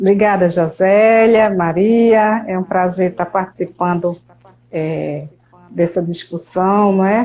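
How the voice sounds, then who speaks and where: Very slowly, a woman speaks with a medium pitch, a dark, mellow tone and fairly even intonation. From Brazil, Paraíba sertão (Patos). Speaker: meteorologist. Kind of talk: interview.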